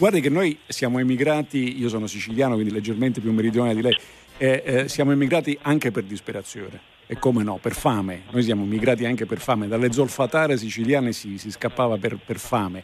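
A man with a medium pitch races along at a very fast pace, his pitch varying in an ordinary way. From Sicily. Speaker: radio talk show panelist. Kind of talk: radio talk show discussion. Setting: radio studio, remote from Rome.

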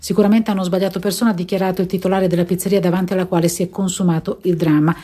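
A woman's somewhat breathy voice, dark and mellow in tone, stays at a medium pitch with monotone, flat intonation. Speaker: emergency doctor. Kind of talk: radio interview.

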